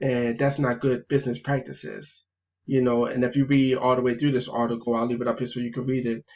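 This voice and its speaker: A man at a very fast pace in a monotone, flat delivery. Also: medium pitch for a man. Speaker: gaming youtuber. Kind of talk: video game review vlog. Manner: stuttering, halting.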